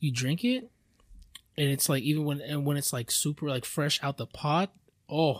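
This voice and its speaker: The voice is somewhat breathy. The sound is dry and close with no echo, in a very clean recording with a silent background. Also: man. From Filipino-American background. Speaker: podcast host. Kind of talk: casual chat.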